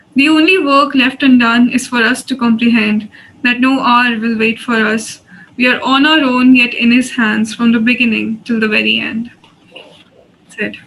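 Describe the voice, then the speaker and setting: A high-pitched woman speaks at a moderate pace with fairly even intonation and big swings in loudness. Noticeable background noise is present. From India. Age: 20s. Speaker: poet. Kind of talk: poetry reading.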